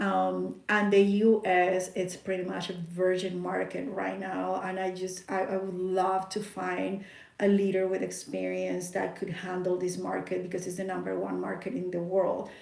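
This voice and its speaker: With a Spanish accent, a woman speaks at a moderate pace with hardly any pauses, amid audible room echo. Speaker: network marketing distributor. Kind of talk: sales pitch.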